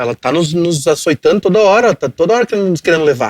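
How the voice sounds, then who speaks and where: With a southern Brazilian accent, the speaker talks at a fairly quick pace with lively intonation. The recording sounds dry and close, with no echo. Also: man. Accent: gaúcho Brazilian Portuguese. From southern Brazil, Rio Grande do Sul (Cachoeirinha). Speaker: digital media entrepreneur. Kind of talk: podcast interview. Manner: halting, repetitive.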